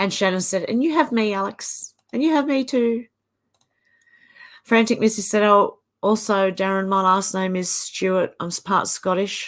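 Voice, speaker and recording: A woman speaks at a medium pitch with an Australian accent and ordinary pitch variation. The recording is very clean, the background silent. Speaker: livestream host reading viewer comments. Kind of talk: casual live chat reading comments. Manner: slow.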